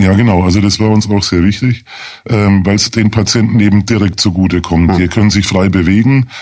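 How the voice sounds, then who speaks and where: A man with an unremarkable speaking voice talks fairly quickly at a fairly low pitch. His loudness stays very even and his intonation fairly even. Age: 50s. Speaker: lawyer, chair of a hospital support association. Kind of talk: radio interview.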